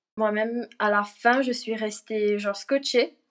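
A woman's fairly high voice with fairly even intonation, at a very slow pace. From Mauritius. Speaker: actress. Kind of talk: casual interview. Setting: video call from Mauritius. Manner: mixes English words into French.

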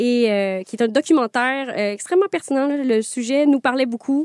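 In a very clean recording with a silent background and a dry, close sound with no echo, a woman speaks at a high pitch and moderate pace with ordinary pitch variation. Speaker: podcast host. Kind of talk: casual interview. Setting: standing in studio. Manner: animated.

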